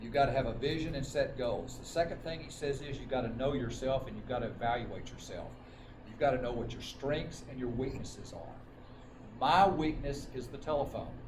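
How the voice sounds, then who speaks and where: A man with an American accent at a fairly quick pace, medium pitch and fairly even intonation, with big swings in loudness and audible room echo. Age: 60s. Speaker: life insurance agent. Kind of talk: motivational talk at a sales meeting.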